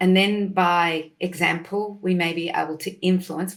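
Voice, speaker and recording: With an Australian accent, a woman talks in a fairly low pitch with fairly even intonation. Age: 60s. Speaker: nutritionist. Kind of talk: casual chat.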